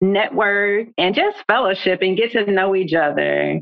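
At a moderate pace, a woman with a medium pitch speaks in a plain, everyday voice. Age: 40s. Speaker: book club founder. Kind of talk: casual chat.

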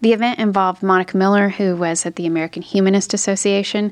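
The woman talks very fast. Her intonation stays fairly even. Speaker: lawyer. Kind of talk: interview.

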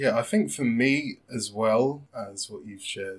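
A man speaks at a fairly slow pace. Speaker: podcast co-host. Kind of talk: casual chat.

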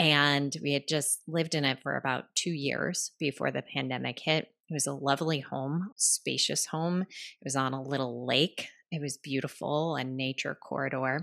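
In a dry, close sound with no echo and a quiet background, a woman speaks with hardly any pauses, her very deep, low pitch carrying vocal fry and fairly even intonation. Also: moderate pace. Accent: American. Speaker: writing coach and author. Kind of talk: interview, storytelling.

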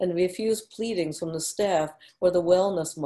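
The reading aloud is plain, and pitch varies by ordinary amounts.

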